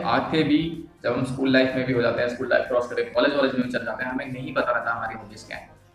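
A man with fairly even intonation, audible room echo and faint music in the background. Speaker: vlogger. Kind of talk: casual vlog chat. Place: home room. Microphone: lapel.

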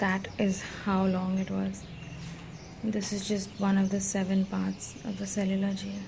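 Noticeable background noise is present. A woman speaks at a fairly slow pace. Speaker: travel vlogger. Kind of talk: casual vlog chat. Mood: awed, somber. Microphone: phone near.

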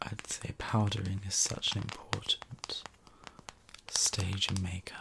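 Whispering, a man speaks at a very slow pace. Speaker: YouTube content creator. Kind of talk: ASMR roleplay makeover. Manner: soft-spoken. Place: home room.

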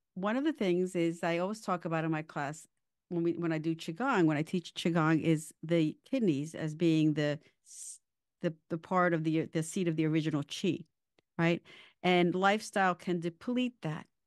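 A woman in a normal speaking voice talks at a moderate pace with a fairly low pitch and ordinary pitch variation, in a dry, close sound with no echo and a quiet background. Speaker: wellness podcast host and qigong teacher. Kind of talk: interview.

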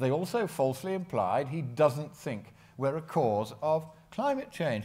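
Against a quiet background, a man speaks at a fairly slow pace. His intonation is lively. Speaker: conference presenter. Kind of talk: conference talk. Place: hall.

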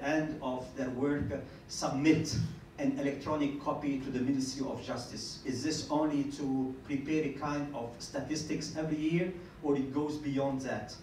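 A man at medium pitch and moderate pace, slightly mellow in tone, with few pauses and audible room echo

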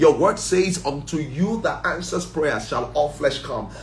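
A man with an animated, intense tone and ordinary pitch variation, with music in the background and audible room echo. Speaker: church prayer leader. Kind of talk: fervent group prayer. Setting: online livestream. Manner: fervent, intense; animated, praising. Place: home room. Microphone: phone near.

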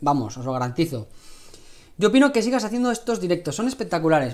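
A man talks with a Spanish accent. The background is quiet. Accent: Peninsular Spanish. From Spain. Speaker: cooking channel host. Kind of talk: live cooking stream. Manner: casual, chatty. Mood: relaxed, friendly. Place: kitchen. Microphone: lapel.

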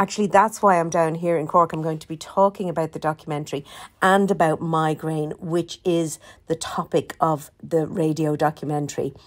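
This woman has an Irish accent and a fairly low pitch, speaking at a moderate pace. Her intonation stays fairly even, though her loudness swings widely. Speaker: podcast host and documentary maker. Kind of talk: casual announcement. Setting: hotel room. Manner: hesitant, many fillers.

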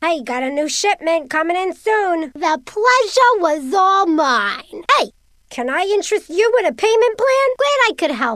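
This is a put-on character voice that sounds female, pitched extremely high. It moves at a moderate pace with very wide pitch swings. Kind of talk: video game character lines. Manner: brash, pushy, impatient.

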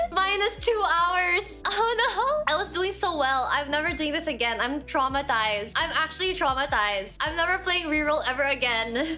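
Faint music plays behind a woman whose extremely high, raised, projected voice swings very widely in pitch at a moderate pace with hardly any pauses. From Philippines. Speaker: Twitch streamer, gamer. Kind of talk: casual gaming stream commentary. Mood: playful, dramatic frustration. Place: home room.

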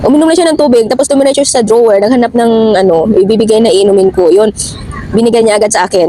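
Over noticeable background noise, a woman talks at a very fast pace. Her pitch is fairly high and her intonation lively. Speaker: domestic worker vlogger. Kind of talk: casual vlog. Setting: outdoors in a park.

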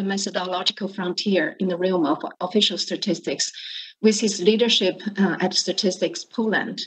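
A somewhat breathy woman speaks with ordinary pitch variation against a quiet background. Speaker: panel moderator. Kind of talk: introducing panelists. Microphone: video call.

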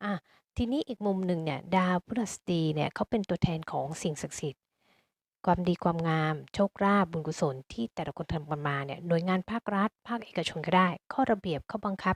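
In an ordinary speaking voice, a woman talks with fairly low pitch and ordinary pitch variation. The recording is very clean, with a silent background and a dry, close sound with no echo. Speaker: astrologer. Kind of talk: astrology forecast monologue.

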